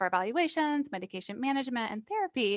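Very fast and with very wide pitch swings, a woman with an American accent speaks in a dry, close sound with no echo over a quiet background. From US Midwest, Iowa. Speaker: psychiatrist. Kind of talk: interview.

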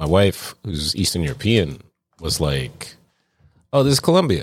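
Vocal fry marks the voice of a man speaking at a very deep, low pitch with very wide pitch swings. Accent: American. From New York City (Brooklyn, Jersey City). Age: 40s. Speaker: podcast co-host, bartender. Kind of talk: casual chat.

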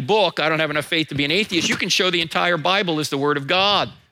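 Talking at a very fast pace, a man shows ordinary pitch variation. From New Jersey. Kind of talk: sermon. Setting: church.

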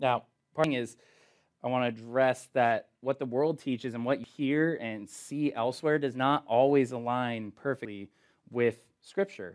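Someone speaks at a moderate pace in an ordinary speaking voice. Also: man, medium pitch for a man, ordinary pitch variation. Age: 20s. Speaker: youth pastor. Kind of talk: youth group sermon. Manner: casual, conversational.

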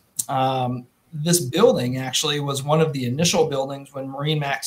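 A man with an Upper Midwest accent and a fairly high pitch at a moderate pace, with noticeable background noise. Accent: Upper Midwest (Minnesota). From central Minnesota. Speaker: boat dealership general manager. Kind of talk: casual video interview.

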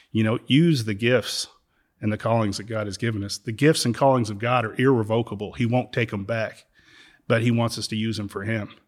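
A normal speaking voice moves at a fairly quick pace with fairly even intonation on a very clean recording with a silent background. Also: man, medium pitch for a man. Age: 50s. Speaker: church member speaking on faith and healing. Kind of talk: faith conversation, interview.

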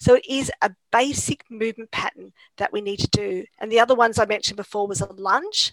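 A woman with an Australian accent speaks at a fairly high pitch and a fairly quick pace with ordinary pitch variation. The sound is dry and close, without echo. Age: 50s. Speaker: exercise scientist and lecturer. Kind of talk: casual interview.

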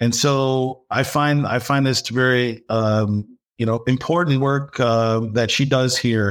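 On a very clean recording with a silent background, a man with a Midwestern American accent speaks at a very slow pace, with fairly even intonation and very even loudness. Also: medium pitch for a man. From Michigan, US (Dearborn). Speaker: business professor. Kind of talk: podcast interview.

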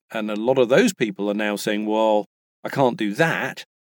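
Recorded with a dry, close sound and no echo, a man of medium pitch speaks at a moderate pace with ordinary pitch variation. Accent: British. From England. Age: 50s. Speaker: voice actor. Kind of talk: casual interview chat. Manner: halting, many restarts.

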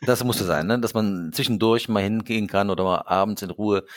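With ordinary pitch variation, a man's voice sits at a fairly low pitch. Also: very clean recording, silent background. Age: 60s. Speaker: consulting firm co-founder and management coach. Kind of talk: casual interview. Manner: halting, many repetitions.

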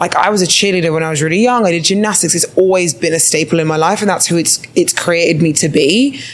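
A woman's fairly low voice at a very fast pace, with very even loudness, hardly any pauses, and noticeable background noise. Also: ordinary pitch variation. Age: 20s. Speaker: podcast co-host, bodybuilder. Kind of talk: casual chat. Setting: stage with audience.

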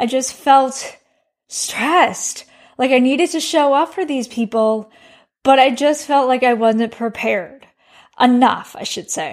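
On a very clean recording with a silent background, a woman with an American accent speaks fairly slowly at a high pitch with ordinary pitch variation. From US Midwest, Chicago. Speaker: health coach and podcast host. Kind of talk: personal monologue podcast.

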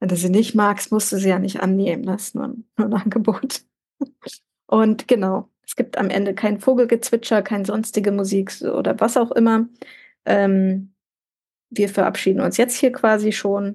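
A woman speaks at a moderate pace in a medium pitch, her dark, mellow tone somewhat breathy and her intonation fairly even. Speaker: podcast host. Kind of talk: casual chat. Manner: warm.

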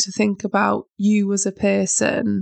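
A woman speaks with a British accent. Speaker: self-help podcast host. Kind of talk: motivational monologue.

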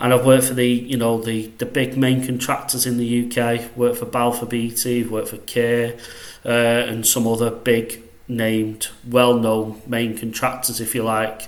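A man speaks in a Mancunian accent at a moderate pace, his intonation monotone and flat. The room echo is audible, and there is noticeable background noise. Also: medium pitch for a man. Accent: northwest English (Mancunian). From northwest England, Salford near Manchester. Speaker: quantity surveyor, consultancy director. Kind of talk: casual interview. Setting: studio.

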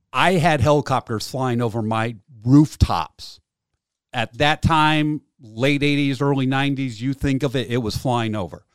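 A man speaks at a fairly slow pace with a medium pitch and ordinary pitch variation. The recording is very clean with a silent background and a dry, close sound with no echo. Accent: American. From Massachusetts. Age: 40s. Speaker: war veteran. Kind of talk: interview.

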